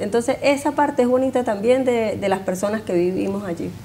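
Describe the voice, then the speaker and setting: A woman with a Venezuelan accent, fairly high pitch and lively intonation, over light background noise. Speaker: neighborhood association member. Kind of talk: TV interview. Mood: warm, friendly. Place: studio. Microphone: lapel.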